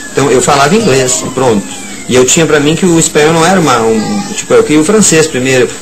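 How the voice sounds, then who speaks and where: Fairly high male voice at a very fast pace, lively intonation, noticeable background noise and audible room echo. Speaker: writer and violinist. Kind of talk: radio interview. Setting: radio studio. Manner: halting.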